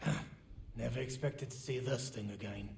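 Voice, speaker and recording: Fairly quick and raspy, a man puts on a character voice at medium pitch against clear background noise. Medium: game stream. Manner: wry, sardonic.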